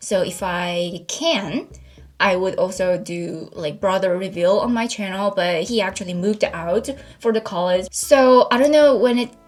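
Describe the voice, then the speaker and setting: A woman in a Korean accent talks at a fairly slow pace with ordinary pitch variation over noticeable background noise. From South Korea, Seoul. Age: 20s. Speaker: YouTuber. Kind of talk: casual Q&A vlog.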